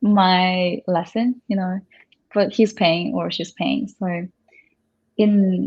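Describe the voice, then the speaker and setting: Speaking at a very slow pace with long, frequent pauses, a woman with a Korean accent keeps her intonation fairly even. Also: medium pitch for a woman. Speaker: Korean language tutor. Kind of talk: casual chat. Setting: in a house.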